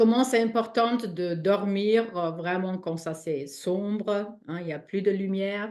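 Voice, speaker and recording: Against a quiet background, a woman speaks at a very slow pace. She has a non-native accent and a medium pitch. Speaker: spiritual healing teacher. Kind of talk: live online talk. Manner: halting.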